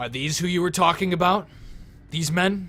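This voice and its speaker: At a moderate pace, a man does a put-on character voice at a high pitch, with fairly even intonation. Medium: actual play. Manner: curt, commanding.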